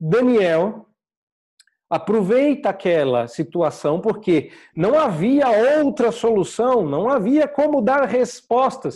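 Against a quiet background, a man with a dark, mellow tone speaks at a very slow pace, his pitch swinging very widely. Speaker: preacher. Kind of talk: sermon. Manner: animated, conversational preaching with humor; explanatory, teacherly pace.

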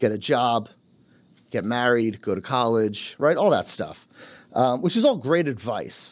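A man with a New Jersey accent and very wide pitch swings, in a very clean recording with a silent background. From Carteret, New Jersey. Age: 30s. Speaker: real estate team leader. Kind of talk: casual chat.

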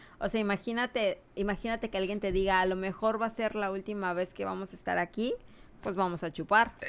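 A woman speaks at a fairly quick pace in a normal speaking voice, medium in pitch, with fairly even intonation. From Mexico, Cancún. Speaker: hurricane survivor sharing experiences. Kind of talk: casual chat.

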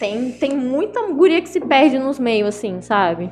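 Music plays behind the speaker. The voice belongs to a woman. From Minas Gerais, Zona da Mata (Ubá). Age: 20s. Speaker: singer and rapper. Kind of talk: casual chat.

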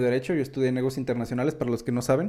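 Fairly high in pitch, the man's voice has a dark, mellow tone. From Mexico. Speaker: business podcast host. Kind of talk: solo podcast commentary. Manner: casual, filler-heavy.

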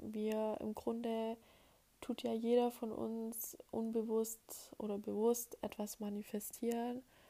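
Her fairly high pitch carries a dark, mellow tone, and the woman keeps a monotone, flat intonation. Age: 20s. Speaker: podcast host. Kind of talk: solo monologue podcast. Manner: hesitant with many filler sounds.

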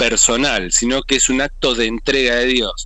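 A man talks at a moderate pace. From Argentina. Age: 40s. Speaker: evangelist. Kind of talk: interview. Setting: phone call.

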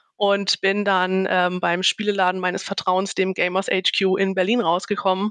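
A woman's voice in dry, close sound with no echo. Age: 30s. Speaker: game master and team-building facilitator. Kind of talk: casual interview chat.

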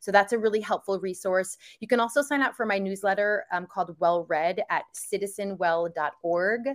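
Using a normal speaking voice, a woman talks at a moderate pace with hardly any pauses. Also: medium pitch for a woman, ordinary pitch variation. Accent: American. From New York area. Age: 40s. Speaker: author and wellness advocate. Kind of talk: podcast interview.

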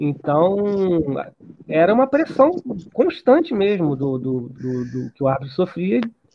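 His voice makes very wide swings in pitch. This man's pitch sits high. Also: fairly slow pace. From Rio de Janeiro, Brazil. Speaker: researcher and author. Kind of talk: interview. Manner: halting, many repetitions.

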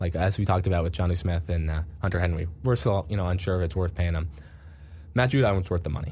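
Very fast and somewhat breathy, a man talks at a very deep, low pitch with ordinary pitch variation. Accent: American. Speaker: sports radio podcast host. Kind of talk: casual sports chat.

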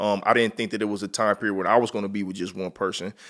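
Talking at a fairly quick pace, a man with a fairly low pitch and fairly even intonation uses a plain, everyday voice in a very clean recording over a silent background. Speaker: podcast host. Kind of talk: casual chat podcast conversation.

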